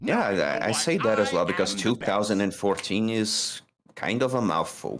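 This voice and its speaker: The speaker is a man at a moderate pace. His loudness stays very even. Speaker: fellow streamer. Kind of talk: casual chat.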